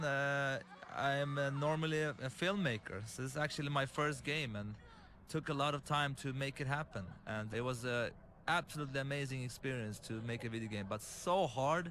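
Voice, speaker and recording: Speaking at a fairly quick pace, a man with an Arabic accent shows ordinary pitch variation. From Lebanon. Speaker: game director and filmmaker. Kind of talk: developer commentary. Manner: halting.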